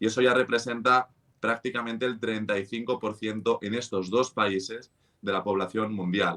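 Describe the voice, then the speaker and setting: This man's voice sits at a medium pitch with a bright, sharp tone. His pitch varies in an ordinary way. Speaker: finance podcast host. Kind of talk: conversational podcast explainer.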